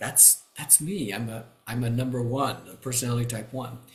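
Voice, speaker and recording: Over noticeable background noise, a man with an American accent speaks at a moderate pace and medium pitch. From Kansas, US Midwest. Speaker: retired pastor and enneagram teacher. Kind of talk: interview. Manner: halting, many fillers.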